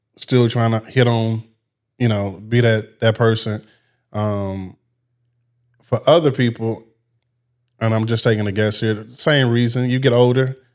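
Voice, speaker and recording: With an American accent, a man speaks at a medium pitch and a fairly slow pace, his intonation fairly even and broken by long, frequent pauses. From Missouri, St. Louis. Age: 40s. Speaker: radio personality and nightclub host. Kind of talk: casual chat.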